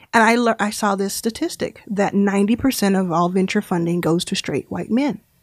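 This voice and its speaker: In a very clean recording with a silent background, a woman with an American accent speaks in an ordinary speaking voice at a fairly quick pace, barely pausing, with medium pitch and ordinary pitch variation. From Texas, Dallas. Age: 30s. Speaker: venture capitalist. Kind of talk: interview.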